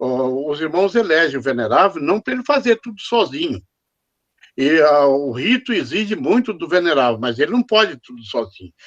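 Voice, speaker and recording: A man's fairly high voice with very wide pitch swings and big swings in loudness. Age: 70s. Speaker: freemason commenting after a lecture. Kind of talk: audience comment after lecture. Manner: halting; slow.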